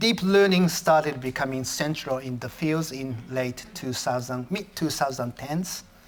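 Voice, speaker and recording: At a fairly slow pace, a man with a Japanese accent speaks with ordinary pitch variation. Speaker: professor. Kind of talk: lecture. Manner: halting, with self-corrections.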